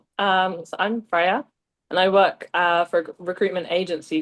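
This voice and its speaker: A woman speaks with a British accent. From southern England, small town near London. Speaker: recruitment agency lead. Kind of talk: casual interview chat.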